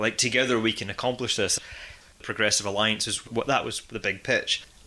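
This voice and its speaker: A man with a Scottish accent speaks fairly quickly in a bright, sharp tone at a medium pitch. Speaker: podcast host. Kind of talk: casual chat. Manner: animated.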